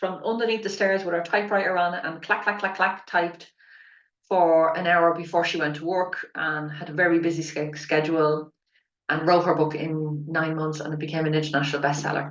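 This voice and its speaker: A woman with an Irish accent at a fairly quick pace. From Ireland. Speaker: spiritual business mentor and author coach. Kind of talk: online workshop. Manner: animated.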